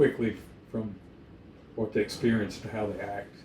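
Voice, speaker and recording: Against noticeable background noise, a man speaks at a moderate pace and medium pitch with fairly even intonation. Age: 70s. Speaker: dog breeder. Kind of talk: casual chat.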